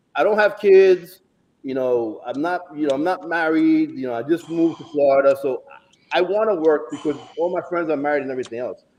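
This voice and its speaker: A man's fairly high voice rushes along at a very fast clip, its intonation lively. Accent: American. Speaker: bodybuilding prep coach. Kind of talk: casual chat. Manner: animated.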